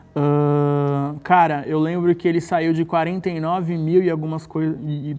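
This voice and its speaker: A man talks at a very slow pace in a fairly high pitch. His tone is dark and mellow. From Santos, Brazil. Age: 30s. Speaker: social media page creator. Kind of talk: casual interview. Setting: studio.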